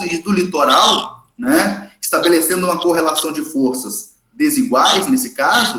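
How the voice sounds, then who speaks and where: A man's voice moves through very wide pitch swings. Audible room echo surrounds it. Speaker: history teacher. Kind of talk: lecture. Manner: fast; animated.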